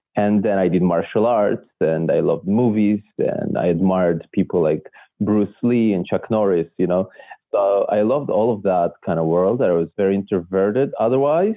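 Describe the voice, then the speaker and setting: A man with a Russian accent, fairly low pitch, ordinary pitch variation, very even loudness and a moderate pace. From Israel, born in Belarus. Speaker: illusionist. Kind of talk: interview. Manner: hesitant, many fillers.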